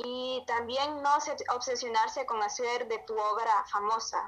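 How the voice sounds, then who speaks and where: Through noticeable background noise comes a woman's voice with a fairly high pitch. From Honduras. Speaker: amateur writer. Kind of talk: interview.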